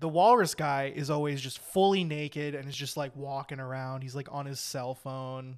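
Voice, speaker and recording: With hardly any pauses, a man with a fairly high pitch speaks at a moderate pace and fairly even intonation. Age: 20s. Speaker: comedy podcast co-host. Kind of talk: casual chat. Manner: quiet at the beginning.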